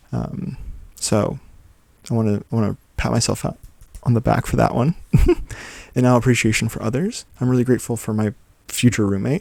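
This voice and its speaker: A soft-spoken man talks at a moderate pace. His pitch is medium, with ordinary variation. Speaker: journaling vlogger. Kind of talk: casual talk to camera. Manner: soft-spoken, easy going.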